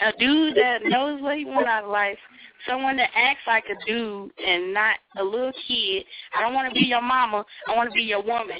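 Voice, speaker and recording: A woman with a Southern US accent speaks at a moderate pace with fairly high pitch. Noticeable background noise is present. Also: ordinary pitch variation. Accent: Southern country. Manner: assertive, matter-of-fact.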